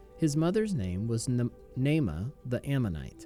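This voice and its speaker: A medium-pitched man's voice over music in the background. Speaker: pastor, Bible reader. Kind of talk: scripture reading, daily Bible audio.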